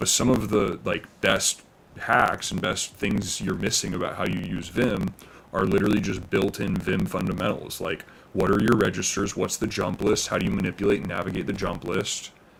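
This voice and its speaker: A man talks with a fairly low pitch and vocal fry. His intonation stays fairly even. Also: moderate pace. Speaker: live streamer. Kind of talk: casual chat.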